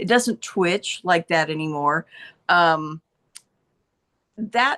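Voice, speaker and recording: A woman speaks in a normal speaking voice at a fairly slow pace, her intonation lively, recorded with a dry, close sound and no echo. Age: 60s. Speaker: health product user giving testimonial. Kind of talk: testimony.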